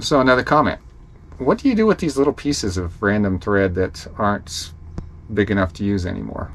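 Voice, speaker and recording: A man with a fairly low voice speaks with long, frequent pauses over light background noise. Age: 60s. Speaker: beginner hand sewer, RV traveler; hobby vlogger. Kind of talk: casual talk to camera. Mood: relaxed, cheerful. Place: home room. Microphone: camera far.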